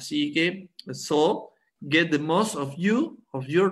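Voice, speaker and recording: Here a man speaks with a Spanish accent. His pitch is high for a man. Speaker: biologist, head of a company's science department. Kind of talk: product presentation. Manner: halting.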